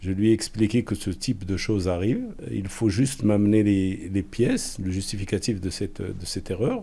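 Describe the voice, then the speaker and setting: A man speaks at a moderate pace, his fairly low pitch paired with a dark, mellow tone. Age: 60s. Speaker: general practitioner, assault victim. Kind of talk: testimony. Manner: halting, repeats words.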